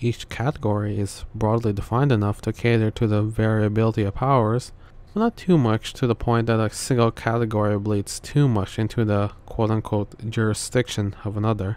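A soft-spoken man talks at a fairly quick pace with hardly any pauses and monotone, flat intonation in a dry sound with no echo. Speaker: video essay narrator. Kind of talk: explainer narration about a story's power system.

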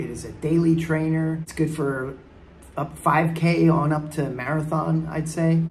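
Over music in the background, a man talks at a very slow pace. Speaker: amateur runner reviewing shoes. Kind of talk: casual vlog chat. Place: garden. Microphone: phone near.

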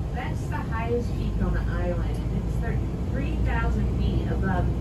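A woman is speaking. Loud background noise is present. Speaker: tour guide driver. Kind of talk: tour guide commentary. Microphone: camera far.

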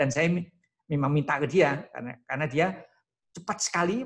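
Against a quiet background, the speech runs at a very fast pace. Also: man. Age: 60s. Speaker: professor. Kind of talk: lecture. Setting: video call. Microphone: video call.

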